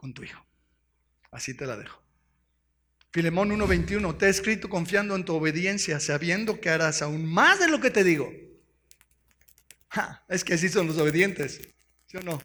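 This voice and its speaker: A man talks at a moderate pace in a high pitch. His tone is bright and sharp, with ordinary pitch variation. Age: 60s. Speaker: pastor. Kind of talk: sermon. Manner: animated.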